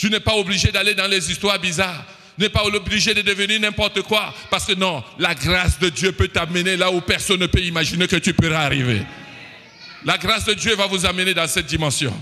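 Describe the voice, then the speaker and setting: A raised, projected voice at a fairly quick pace, very even in loudness, with ordinary pitch variation and noticeable background noise. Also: man, high pitch for a man. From Cameroon. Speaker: preacher. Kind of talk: sermon.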